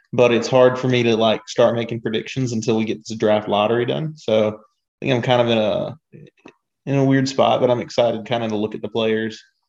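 The speaker has a plain, everyday voice. The pace is fairly quick. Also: man. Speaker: podcast co-host. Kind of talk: casual chat.

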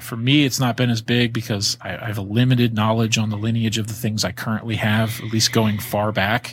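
A man with an American accent, medium pitch and a fairly quick pace, an unremarkable speaking voice. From Florida and Virginia. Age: 30s. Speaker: reptile breeder, podcaster. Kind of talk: casual chat.

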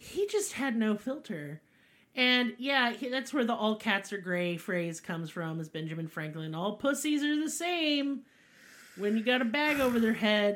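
This woman has a Southern US accent, a fairly high pitch, a moderate pace, an animated tone and very wide pitch swings. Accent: Southern US, twangy. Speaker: podcast host. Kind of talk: casual chat, comedic storytelling. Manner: animated, irreverent, profane.

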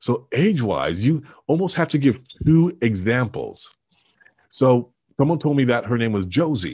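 A man with a Canadian accent talks at a moderate pace, his medium-pitched voice somewhat breathy and his intonation lively. He leaves long, frequent pauses against a quiet background. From Canada. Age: 50s. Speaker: public speaking coach and actor. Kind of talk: interview.

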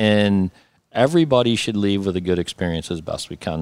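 A man with a plain, everyday voice talks at a moderate pace in an American accent, fairly low in pitch with ordinary variation. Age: 50s. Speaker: landscaping and snow removal business owner. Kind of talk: interview.

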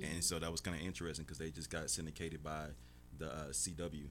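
Very fast, very deep and low male speech with vocal fry. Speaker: radio show guest, film industry worker. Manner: casual, conversational.

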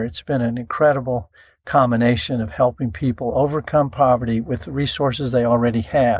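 On a very clean recording with a silent background, a man of medium pitch talks fairly quickly with ordinary pitch variation. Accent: Texan. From North Texas. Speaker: ministry CEO and radio host. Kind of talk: interview.

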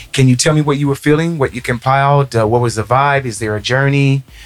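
A man speaks at a medium pitch with music playing in the background. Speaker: podcast host. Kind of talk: casual interview. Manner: upbeat and enthusiastic.

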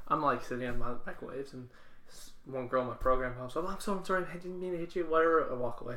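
A man's fairly high voice, very fast, with ordinary pitch variation and audible room echo. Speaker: beer podcast co-host. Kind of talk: casual chat. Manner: stuttering at times.

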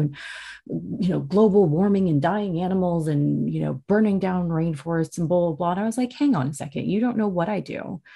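A woman's fairly low, dark and mellow voice, somewhat breathy, with lively intonation and a fairly quick pace over a quiet background. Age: 30s. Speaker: podcast host. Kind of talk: solo monologue.

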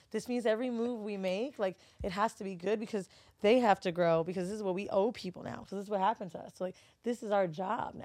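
Her loudness swinging widely, a woman with an American accent speaks at a very fast pace with fairly even intonation. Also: medium pitch for a woman. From Florida. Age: 30s. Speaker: podcast host and studio owner. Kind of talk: casual chat. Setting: studio.

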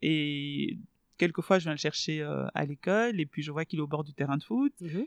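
A woman speaks at a fairly quick pace in a normal speaking voice, her pitch fairly low with ordinary variation. The sound is dry and close with no echo, over a quiet background. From Belgium (Brussels), born in DR Congo. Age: 30s. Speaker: journalist and radio host. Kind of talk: casual interview.

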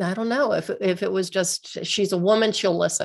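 This woman speaks at a medium pitch with vocal fry. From western Pennsylvania, US. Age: 60s. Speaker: physical therapist. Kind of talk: interview chat. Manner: animated.

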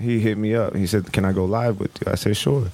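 Noticeable background noise surrounds a man's voice. He speaks at a fairly low pitch with fairly even intonation. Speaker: musician. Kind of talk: casual chat. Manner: laid-back.

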